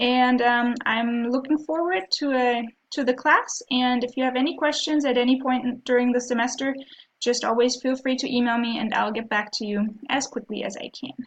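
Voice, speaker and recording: Moderate-paced speech from a woman, high in pitch and fairly even in intonation. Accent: German. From Germany. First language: German. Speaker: professor. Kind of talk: course introduction video. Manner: hesitant, frequent ums.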